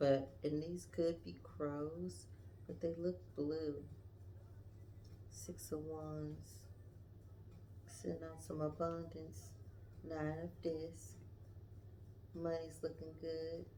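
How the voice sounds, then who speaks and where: A woman speaks quietly at a very slow pace with long, frequent pauses, her very deep, low voice showing vocal fry and very wide pitch swings, with audible room echo. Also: dark, mellow tone. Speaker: tarot reader. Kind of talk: tarot reading livestream.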